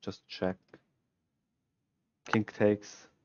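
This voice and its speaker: Speaking at a fairly slow pace, a man has a Swiss German accent. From Switzerland. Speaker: chess streamer. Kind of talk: live stream chess analysis. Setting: live stream.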